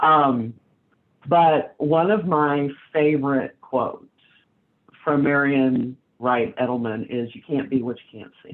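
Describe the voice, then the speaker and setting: A woman with an American accent speaks in a very deep, low voice at a very slow pace, with long, frequent pauses. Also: ordinary pitch variation. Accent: Southern US, comes out at times. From US South. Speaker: panel moderator. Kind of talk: panel discussion.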